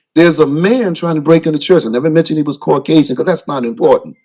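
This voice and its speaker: A man is speaking here. His pitch rises and falls in an ordinary way. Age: 60s. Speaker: pastor. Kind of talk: public comment at town council meeting. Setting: council chamber. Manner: halting.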